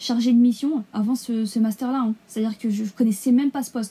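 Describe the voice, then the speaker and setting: Her voice is fairly high for a woman, with a dark, mellow tone. She keeps a moderate pace and fairly even intonation. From Essonne, Paris region, France. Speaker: law graduate. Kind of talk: interview.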